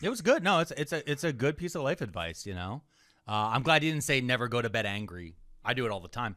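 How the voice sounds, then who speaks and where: Over a silent background in a very clean recording, a man talks at a very fast pace. His bright, sharp, medium-pitched voice swings very widely in pitch. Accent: Philadelphia. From Philadelphia, US. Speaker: comedian and podcast co-host. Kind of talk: casual chat.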